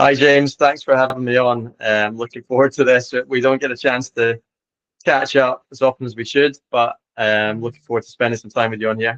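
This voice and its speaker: With an Edinburgh accent, a man at medium pitch talks fairly quickly in a monotone, flat delivery, recorded dry and close with no echo. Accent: Scottish (Edinburgh). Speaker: tennis coach. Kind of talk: interview podcast.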